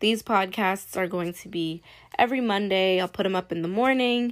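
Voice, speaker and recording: A woman's ordinary speaking voice, medium in pitch, at a moderate pace with ordinary pitch variation, on a very clean recording with a silent background. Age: young. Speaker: podcast host, college student and influencer. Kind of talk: faith podcast monologue.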